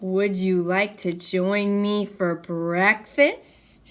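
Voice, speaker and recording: In a put-on character voice, a woman talks very slowly at a medium pitch with fairly even intonation, on a very clean recording with a silent background. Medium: read story. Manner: cheerful, eager.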